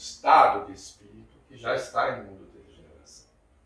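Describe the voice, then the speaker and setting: Speaking at a moderate pace, a man is heard through noticeable background noise and audible echo in the room. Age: 50s. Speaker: spiritist lecturer. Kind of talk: lecture.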